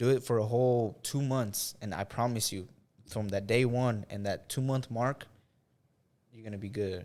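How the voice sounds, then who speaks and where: With an American accent, a man speaks in an ordinary speaking voice at medium pitch, fairly even intonation and a moderate pace, on a very clean recording with a silent background. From US Midwest, Indiana. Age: 20s. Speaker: social media influencer and filmmaker. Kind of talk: casual podcast interview. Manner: casual, filler-heavy.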